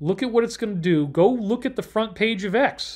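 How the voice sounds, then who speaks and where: Loud and animated, a man with an American accent speaks in a high pitch with lively intonation, the recording very clean with a silent background. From Upstate New York. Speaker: livestream host on alternative topics. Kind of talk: solo livestream talk. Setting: hotel room.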